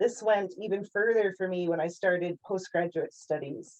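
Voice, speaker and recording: Moderate pace and ordinary pitch variation, in an American accent. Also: woman. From Central Texas. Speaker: founder of an educational organisation. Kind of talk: scripted presentation.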